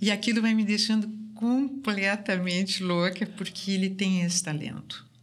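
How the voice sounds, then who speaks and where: A somewhat breathy woman at medium pitch, with fairly even intonation, a moderate pace and very even loudness. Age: 60s. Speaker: artist. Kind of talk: casual interview.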